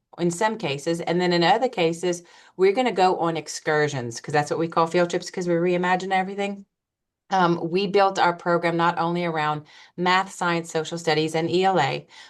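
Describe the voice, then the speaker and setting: A woman's fairly low voice with a slight Louisiana accent, fairly quick in pace, fairly even in intonation, over a quiet background. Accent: slight Louisiana twang. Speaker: school principal. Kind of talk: webinar presentation. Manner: fast.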